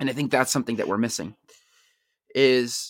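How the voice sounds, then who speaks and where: The recording is very clean, with a silent background. The sound is dry and close, without any echo. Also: man. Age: 20s. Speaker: podcast host and communications student. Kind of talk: solo podcast monologue. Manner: casual, with frequent fillers.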